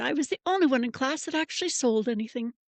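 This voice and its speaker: A woman with an American accent and lively intonation, dry and close with no echo, against a quiet background. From California. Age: 60s. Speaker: educator and founder. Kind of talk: interview.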